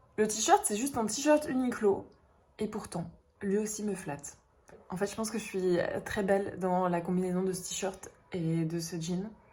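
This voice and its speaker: A woman's animated, medium-pitched voice at a fairly slow pace, with ordinary pitch variation and long, frequent pauses. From northern France, Dunkirk. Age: 20s. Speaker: vlogger. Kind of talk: casual vlog talk.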